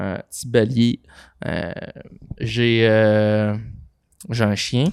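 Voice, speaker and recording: With a Quebec accent, a man speaks very slowly in a fairly low pitch with fairly even intonation. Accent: Québécois French. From Quebec, Saint-Méthode (Frontenac). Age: 20s. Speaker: podcast co-founder. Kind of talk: casual chat.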